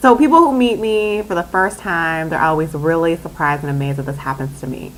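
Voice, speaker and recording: Using lively intonation, a woman with an American accent speaks at a fairly low pitch. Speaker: vlogger. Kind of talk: casual vlog talk. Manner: animated.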